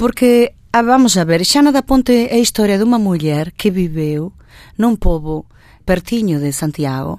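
A woman's voice has a dark, mellow tone and very wide pitch swings. The recording is very clean with a silent background. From Galicia, Spain (born in Porto, moved at 10). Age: 50s. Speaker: fado singer. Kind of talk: radio interview.

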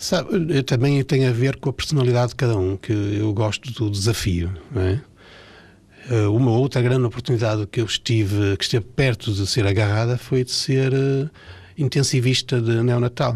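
Against a quiet background, a man talks at a moderate pace and medium pitch, somewhat breathy, with ordinary pitch variation. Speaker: pediatric oncologist. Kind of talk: radio interview. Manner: halting.

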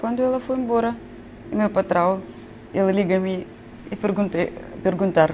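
With noticeable background noise, a woman talks at a moderate pace. Her medium pitch swings very widely. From Ukraine. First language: Ukrainian or Russian (speaking Portuguese). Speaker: shop manager. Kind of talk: interview. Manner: halting.

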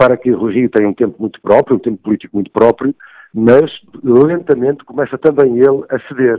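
The sound is dry and close, with no echo. A man speaks at a moderate pace and medium pitch with ordinary pitch variation. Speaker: newspaper executive editor, commentator. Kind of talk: political analysis on radio. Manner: halting, many fillers.

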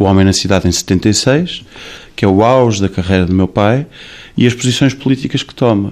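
Speaking at a moderate pace, a man uses an unremarkable speaking voice with a fairly low pitch and ordinary pitch variation. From Portugal. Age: 40s. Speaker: singer and restaurant owner. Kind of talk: interview.

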